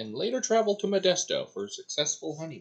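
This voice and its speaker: A man speaks at a moderate speed, and the background is quiet. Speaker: fiction creator narrating his characters. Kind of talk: storytelling narration. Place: home room. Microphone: webcam.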